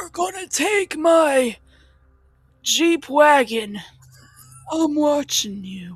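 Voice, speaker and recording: Over music in the background, a put-on character voice moves at a very slow pace with long, frequent pauses. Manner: suspicious, gruff.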